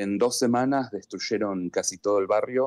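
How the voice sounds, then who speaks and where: A man speaks with an Argentine accent and ordinary pitch movement. The sound is dry and close, with no echo. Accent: Argentine Spanish (voseo). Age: 40s. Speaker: NGO volunteer. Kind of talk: live news interview.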